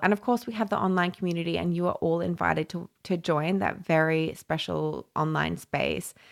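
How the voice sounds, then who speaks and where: Over a silent background on a very clean recording, a woman with an Australian accent speaks at a moderate pace and fairly low pitch with ordinary pitch variation. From Papua New Guinea and Brisbane, Australia. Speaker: podcast host and community founder. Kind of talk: solo podcast monologue. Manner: casual and chatty.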